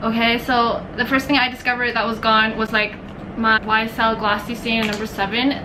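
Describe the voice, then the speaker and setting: The speech runs at a fairly quick pace, with noticeable background noise and audible room echo. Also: woman. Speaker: beauty vlogger. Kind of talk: haul video monologue. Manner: rambling, halting.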